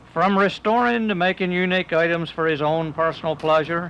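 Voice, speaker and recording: Talking at a moderate pace, a man has an ordinary speaking voice in a fairly high pitch. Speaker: TV feature reporter. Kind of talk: local TV feature narration.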